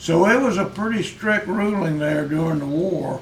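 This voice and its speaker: Amid noticeable background noise, a man with an American accent speaks at a very slow pace with ordinary pitch variation. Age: 80s+. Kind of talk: interview answer.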